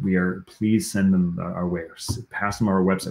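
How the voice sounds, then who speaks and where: A man talks at a fairly quick pace. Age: 40s. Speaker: founder of a recovery coaching ministry. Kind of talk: casual chat.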